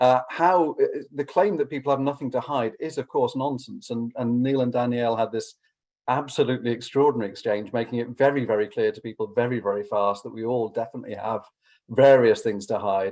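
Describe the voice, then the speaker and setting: This man, with an English accent, talks at a fairly quick pace and medium pitch, showing ordinary pitch variation. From England. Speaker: law academic. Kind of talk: conference response talk. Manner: halting, many fillers and repetitions.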